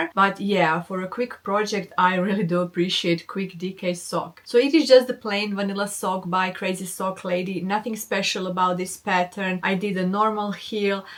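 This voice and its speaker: With a non-native accent, a woman talks at a moderate pace in a medium pitch, her intonation fairly even and her speech hardly pausing at all. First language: not English. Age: 40s. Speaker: knitting podcaster. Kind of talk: casual chat.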